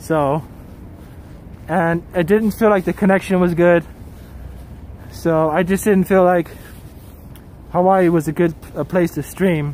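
A man with a high pitch at a fairly slow pace, with long, frequent pauses, a dry sound with no echo and light background noise. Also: fairly even intonation. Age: 40s. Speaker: travel live streamer. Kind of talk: casual live stream commentary reading chat. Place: street. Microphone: phone near.

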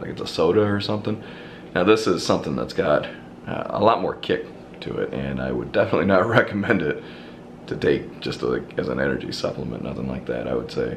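The background carries light noise. A man rushes along at a very fast speed. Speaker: vlogger. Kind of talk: casual vlog chat. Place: home room. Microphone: phone near.

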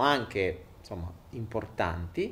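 A man speaks with vocal fry. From Italy. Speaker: online content creator and entrepreneur. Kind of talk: live stream monologue. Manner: animated. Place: home room. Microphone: handheld.

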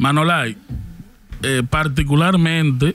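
In a dry sound with no echo, a man speaks at a fairly slow pace with ordinary pitch variation. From Dominican Republic. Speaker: podcast co-host. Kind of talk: casual chat. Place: studio. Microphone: studio mic.

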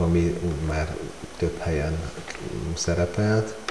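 Over noticeable background noise, a man with a very deep, low voice speaks at a fairly slow pace. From Hungary. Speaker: amateur photographer. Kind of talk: casual interview. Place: home room. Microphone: lapel.

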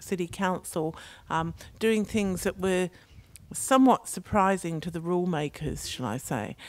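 A woman speaks in an English accent at a fairly slow pace and fairly low pitch. The sound is dry, with no echo. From England, London. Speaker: mayor. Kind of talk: opening speech. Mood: warm, upbeat. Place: tent. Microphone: handheld.

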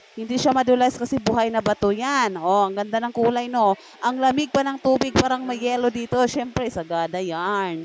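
This woman speaks fairly quickly, with hardly any pauses, at a high pitch and with ordinary pitch variation. The sound is dry with no echo, and there is noticeable background noise. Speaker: travel vlogger. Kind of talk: casual vlog chat. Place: tunnel cave. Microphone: phone near.

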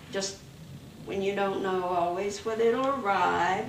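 A woman talks with fairly even intonation. Audible room echo and light background noise surround her voice. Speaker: interviewee. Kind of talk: interview answer. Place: home room.

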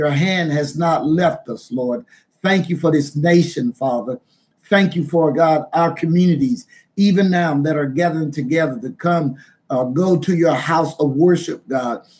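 Ordinary pitch variation accompanies a moderate pace. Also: man. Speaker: minister. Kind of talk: prayer and sermon. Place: home room. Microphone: webcam.

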